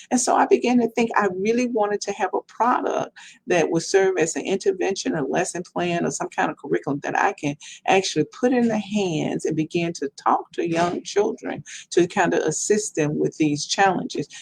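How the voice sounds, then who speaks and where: A woman with a Mississippi accent talks at a moderate pace, the sound dry and close with no echo. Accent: Southern US, Mississippi. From Mississippi, US South. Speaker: professor and children's book author. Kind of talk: podcast interview.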